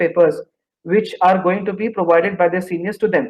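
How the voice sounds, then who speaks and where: A man with an Indian accent. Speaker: engineering graduate student. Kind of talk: interview about job placement.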